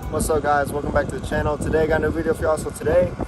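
A man talks against loud background noise, his voice dry with no echo. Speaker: car enthusiast vlogger. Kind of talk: casual vlog chat. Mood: excited but cautious. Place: street. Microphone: phone near.

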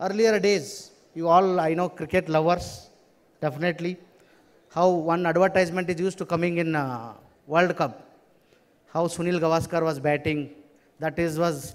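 Fairly slow and high-pitched, a man speaks with fairly even intonation. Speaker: conference speaker. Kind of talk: motivational speech to students. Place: hall. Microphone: podium.

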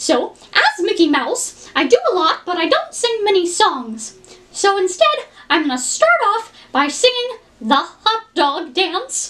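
Putting on a character voice, a woman speaks fairly slowly at an extremely high pitch. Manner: bubbly, eager.

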